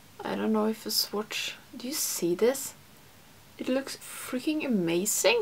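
Speaking with a Swedish accent, a woman with a fairly high pitch talks at a fairly slow pace with lively intonation. There is light background noise. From Sweden. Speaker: beauty YouTuber. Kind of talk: makeup tutorial. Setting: home studio. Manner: chatty. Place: home room.

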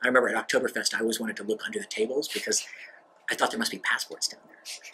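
A man with an American accent speaks at a very fast pace. Light background noise is audible. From grew up abroad in a US diplomatic family. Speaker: diplomat. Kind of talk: interview monologue. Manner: halting, many fillers. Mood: relaxed, reflective, light humor. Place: office.

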